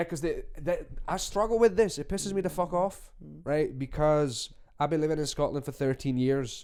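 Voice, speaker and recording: In a very clean recording with a silent background, a man talks at a fairly quick pace in a dark, mellow tone, his pitch fairly high for a man with ordinary variation. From Romanian, living in Scotland for thirteen years. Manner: annoyed, frustrated.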